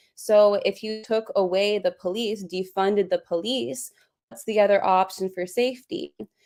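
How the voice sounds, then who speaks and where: Moderately paced, a woman talks in an ordinary speaking voice at medium pitch with ordinary pitch variation. Her loudness swings a lot. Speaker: subject matter expert. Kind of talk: interview discussion.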